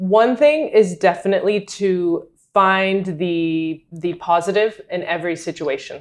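A woman with an American accent and an unremarkable speaking voice, medium pitch, ordinary pitch variation and a fairly slow pace. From US South, North Carolina. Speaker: data analyst and adjunct professor. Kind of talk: interview. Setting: in person, host's apartment.

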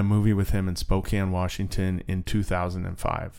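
This man's voice is pitched fairly low. The recording is very clean, and the background is silent. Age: 40s. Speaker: podcast host. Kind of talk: casual interview conversation.

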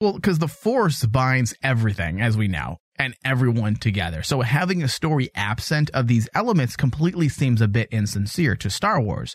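A man speaks at a moderate pace with hardly any pauses, in a playful tone that is somewhat breathy, at a medium pitch with very wide swings. His loudness stays very even, and the recording is very clean and dry, close with no echo, over a silent background. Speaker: podcast host. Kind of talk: casual chat. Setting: studio. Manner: jokey, playful.

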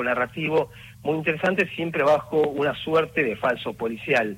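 A man speaks at a moderate pace, his pitch fairly high for a man with ordinary variation. Noticeable background noise runs underneath. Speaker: museum exhibition curator. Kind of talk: interview.

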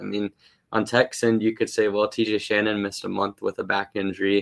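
Here is a man with a medium pitch. He has an ordinary speaking voice. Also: very clean recording, silent background. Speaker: sports analyst and podcaster. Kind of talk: casual sports talk.

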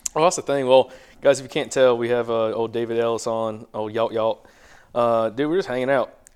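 With a Southern US accent and an animated tone, a man of medium pitch speaks at a fairly quick pace. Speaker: hunting podcast host. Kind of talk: casual chat.

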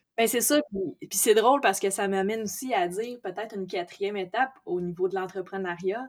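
An ordinary speaking voice from a woman, medium pitch, moderate pace and ordinary pitch variation. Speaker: entrepreneur, amateur boxer. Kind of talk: interview.

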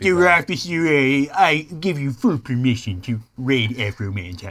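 His pitch is medium. The man is doing a put-on character voice. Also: fairly slow pace.

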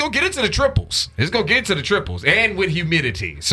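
Against noticeable background noise, a man speaks at a very fast pace with very even loudness. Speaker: radio host. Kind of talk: casual, slangy. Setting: radio studio.

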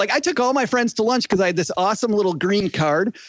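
An energetic man's voice at a very fast pace. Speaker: personal finance podcast host. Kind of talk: casual interview chat. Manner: energetic, charismatic.

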